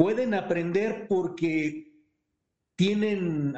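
A man with a high pitch speaks with ordinary pitch variation. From Pachuca, Hidalgo, Mexico. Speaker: participant sharing experience. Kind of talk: personal testimony. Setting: Zoom call.

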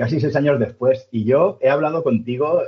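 Delivered at a moderate pace in a Castilian accent, the voice is somewhat breathy. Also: man. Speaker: sports podcast host. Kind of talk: casual interview chat.

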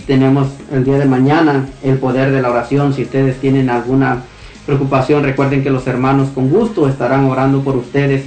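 Against noticeable background noise, a man talks at a fairly quick pace. His intonation is monotone and flat, and his loudness stays very even. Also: medium pitch for a man. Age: adult. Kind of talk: radio show hosting.

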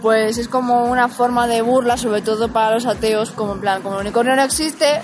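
A woman's fairly high voice at a moderate pace with fairly even intonation, music playing in the background. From Madrid, Spain. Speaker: podcast co-host. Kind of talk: casual chat. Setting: in person, outdoors near concert venue.

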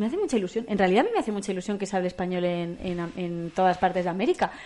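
A woman's voice with a dark, mellow tone. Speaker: podcast co-host. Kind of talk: casual chat.

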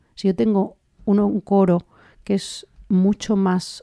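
A woman with an ordinary speaking voice talks at a medium pitch with fairly even intonation, her sound dry and close with no echo. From Spain, Andalusia (Linares, Jaén). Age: 30s. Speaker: orchestra conductor. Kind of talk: interview.

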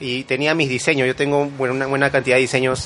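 A man's fairly high voice at a moderate pace, over noticeable background noise. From Lima, Peru. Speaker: graphic designer and small business owner. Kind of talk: casual interview. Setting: studio.

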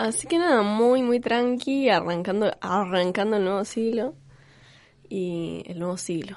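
This woman has an ordinary speaking voice with lively intonation. She talks at a fairly slow pace. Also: medium pitch for a woman. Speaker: podcast host. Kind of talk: casual chat.

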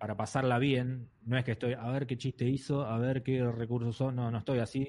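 Against a quiet background, a man speaks at a moderate pace and medium pitch in an ordinary speaking voice. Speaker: comedian and podcast host. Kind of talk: casual chat.

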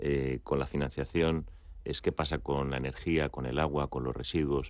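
Very deep and low, a man's voice with vocal fry moves at a fairly slow pace in a monotone, flat way. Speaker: executive. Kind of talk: radio interview.

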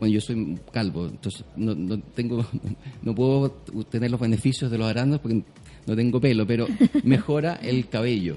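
A man talks at a moderate pace and medium pitch. His tone is dark and mellow, with ordinary pitch variation. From southern Chile. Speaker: juice company founder. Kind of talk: radio interview.

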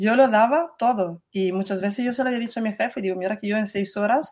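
A woman speaks at fairly high pitch and a moderate pace, with ordinary pitch variation against a quiet background. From Italy. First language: Italian (speaking Spanish). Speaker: working mother, former hotel PR worker. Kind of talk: interview.

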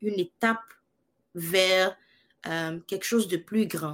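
Ordinary pitch variation marks this woman's speech. The recording is very clean, with a silent background. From Ivory Coast. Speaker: singer. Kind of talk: interview.

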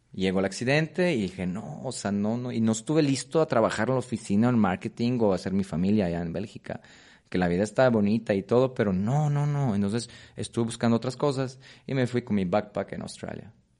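Against a quiet background, a man talks at a fairly quick pace. His medium-pitched voice has a dark, mellow tone and ordinary pitch variation. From Poland. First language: Polish (speaking Spanish). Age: 30s. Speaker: Muay Thai coach. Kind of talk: interview. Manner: halting, repetitive.

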